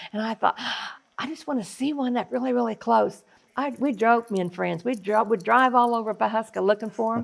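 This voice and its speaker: A woman speaks at a fairly quick pace with a fairly high pitch and ordinary pitch variation. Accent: Oklahoma. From Oklahoma, Osage Nation (Fairfax). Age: old. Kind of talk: casual chat.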